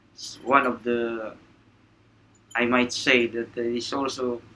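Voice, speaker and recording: A man speaks at a medium pitch. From Philippines, Manila. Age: 30s. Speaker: ship's officer. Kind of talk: interview. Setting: aboard a ship.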